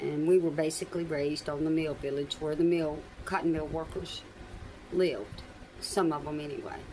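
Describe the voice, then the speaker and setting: Amid noticeable background noise and audible room echo, a woman with a Southern US accent speaks at a moderate pace in a very deep, low pitch, her intonation fairly even. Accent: Southern US (Georgia). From US South, Albany, Georgia. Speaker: YouTuber telling life story. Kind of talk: personal storytelling monologue.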